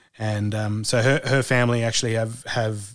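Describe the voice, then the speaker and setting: With an Australian accent, the speaker holds a monotone, flat intonation at a moderate pace on a very clean recording with a silent background. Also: man. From Australia, rural farm. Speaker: former foreign correspondent turned cattle station hand. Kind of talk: interview conversation.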